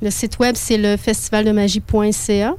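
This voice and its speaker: Her voice has a dark, mellow tone as the woman speaks at a medium pitch. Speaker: festival director. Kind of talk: interview. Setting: studio.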